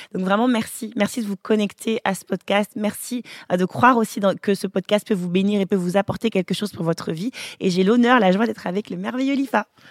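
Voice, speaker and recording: A woman speaks at a fairly quick pace in an ordinary speaking voice, with medium pitch and ordinary pitch variation. The recording is very clean with a silent background, and the sound is dry and close with no echo. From African family, French-speaking. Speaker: podcast host, pastor's family. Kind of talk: casual chat.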